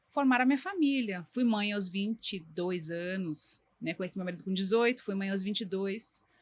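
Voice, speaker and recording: Lively intonation colors a woman's moderate-paced speech in an unremarkable speaking voice. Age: 40s. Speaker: designer. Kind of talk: interview.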